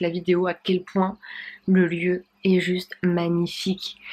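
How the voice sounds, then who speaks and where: You can hear a woman talking. Her voice is pitched in the middle range. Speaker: dietitian and vlogger. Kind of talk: casual vlog. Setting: friend's home while traveling.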